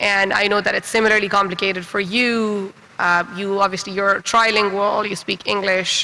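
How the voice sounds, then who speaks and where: A man uses a raised, projected voice at a high pitch with a bright, sharp tone. His pace is moderate and his intonation monotone and flat. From Pakistan. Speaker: writer and panel moderator. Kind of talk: panel discussion.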